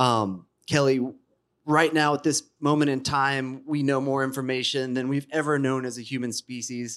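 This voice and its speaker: Fairly even intonation marks a normal speaking voice in a very clean recording with a silent background. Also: man, medium pitch for a man, moderate pace. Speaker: podcast host and panel moderator. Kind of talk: scripted narration. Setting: stage with audience.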